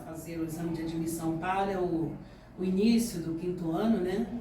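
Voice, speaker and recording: A medium-pitched woman's voice, with audible room echo and noticeable background noise. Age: 60s. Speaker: schoolteacher. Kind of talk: interview.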